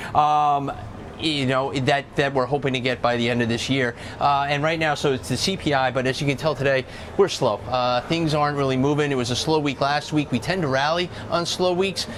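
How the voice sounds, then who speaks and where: A man talks at a fairly quick pace in a fairly high pitch, his intonation fairly even and his loudness very even. Noticeable background noise sits behind him. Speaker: market strategist. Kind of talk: TV interview.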